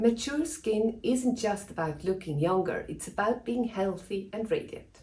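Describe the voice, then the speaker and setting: The voice is dark, mellow and somewhat breathy. It moves at a fairly slow pace with lively intonation. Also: woman. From Switzerland. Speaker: dermatologist. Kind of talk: scripted tutorial. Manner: formal.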